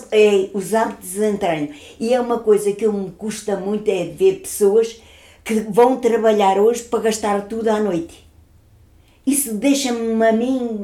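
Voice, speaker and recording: A woman speaks at a fairly slow pace in a dark, mellow tone, with a fairly high pitch and ordinary pitch variation. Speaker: grandmother. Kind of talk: casual chat.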